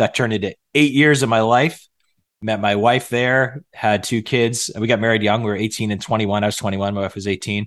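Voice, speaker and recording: A man with an American accent speaks in a normal speaking voice at a medium pitch, a fairly quick pace and ordinary pitch variation. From north central Massachusetts. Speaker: pastor and church network leader. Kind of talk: podcast interview.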